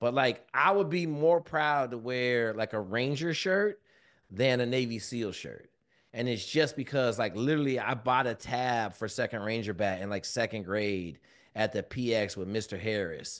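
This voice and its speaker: Against a quiet background, a man with an American accent talks at medium pitch and a moderate pace. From Washington State, US. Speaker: former Navy SEAL, leadership mentor. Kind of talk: podcast interview. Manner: loud.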